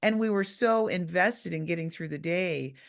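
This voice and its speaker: At a moderate pace, a woman with an unremarkable speaking voice and a fairly low pitch uses lively intonation over a quiet background. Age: 50s. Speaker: podcast host. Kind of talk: casual chat.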